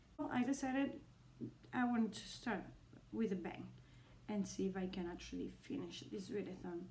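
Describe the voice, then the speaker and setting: A woman speaks with a Spanish accent, somewhat breathy. Her tone is dark and mellow, with audible room echo. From Spain. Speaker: booktuber. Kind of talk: casual vlog. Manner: hesitant, many fillers.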